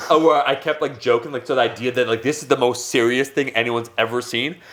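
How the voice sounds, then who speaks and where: At a fairly quick pace, a man talks with a medium pitch and ordinary pitch variation. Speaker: fitness YouTuber. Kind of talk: casual podcast chat. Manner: rambling, animated storytelling.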